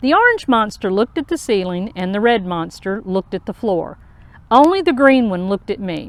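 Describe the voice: Someone reads aloud plainly, the intonation lively.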